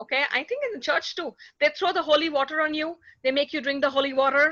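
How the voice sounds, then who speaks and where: A woman projects a raised voice with a bright, sharp tone. She speaks at a fairly quick pace with ordinary pitch variation. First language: not English. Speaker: conference speaker. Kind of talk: conference Q&A discussion.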